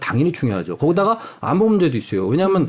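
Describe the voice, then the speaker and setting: This is a man speaking at a high pitch. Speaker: university professor of international relations. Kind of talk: interview. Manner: animated.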